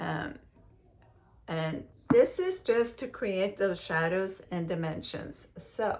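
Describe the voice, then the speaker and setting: A woman speaks at a very slow pace. She leaves long pauses, and they come often. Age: 70s. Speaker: makeup seller and tutorial host. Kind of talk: tutorial. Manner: casual, hesitant with fillers.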